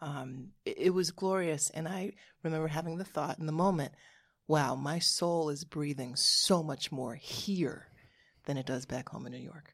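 A woman speaks at a moderate pace with a very deep, low pitch. Her pitch variation is ordinary. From US Northeast, Hartford, Connecticut. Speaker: podcast co-host. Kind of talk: casual chat.

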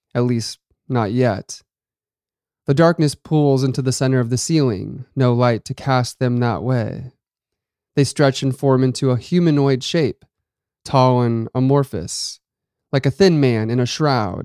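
A man's dark, mellow, medium-pitched voice at a fairly slow pace, with long, frequent pauses and a dry, close sound free of echo. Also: ordinary pitch variation. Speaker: horror story podcast host and narrator. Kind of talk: scripted narration of a horror story.

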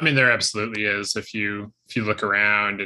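Against a quiet background, a man with an unremarkable speaking voice talks at a moderate pace in a fairly low pitch. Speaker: baseball podcast host. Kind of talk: podcast interview.

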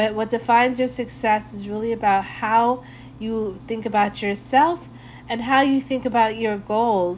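This woman has a plain, everyday voice. Her pitch is fairly high, with ordinary variation. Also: moderate pace. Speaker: podcast host. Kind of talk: radio DJ patter: upbeat, slangy intros between reggae tracks. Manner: laid-back and friendly; warm, upbeat, casual.

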